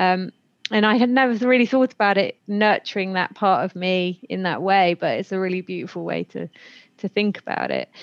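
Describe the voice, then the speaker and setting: The woman's voice is medium in pitch at a moderate pace. It sounds dry and close, with no echo. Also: ordinary pitch variation. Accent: British. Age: 30s. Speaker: podcast host. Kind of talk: casual interview chat.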